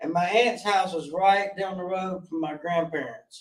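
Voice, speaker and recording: A man talks at a high pitch with a Southern US accent. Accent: country Southern. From US South, Gaston County, North Carolina. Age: 40s. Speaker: guest sharing addiction recovery story. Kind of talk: interview testimony. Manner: halting.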